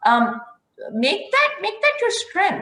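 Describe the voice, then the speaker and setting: A woman speaks with a Pakistani accent. Her pace is fairly slow. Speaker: IT professional, university alumna. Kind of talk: panel talk.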